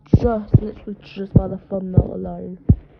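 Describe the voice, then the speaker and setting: There is noticeable background noise as a woman with a medium-pitched voice speaks at a moderate pace. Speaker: streamer reacting to cartoon episode. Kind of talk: live reaction stream. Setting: at a friend's house. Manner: animated; quiet.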